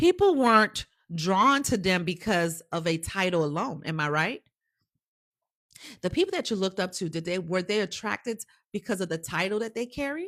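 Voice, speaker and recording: Medium-pitched woman's voice, animated and lively in intonation, at a moderate pace. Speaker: career coach. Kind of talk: live-stream motivational class.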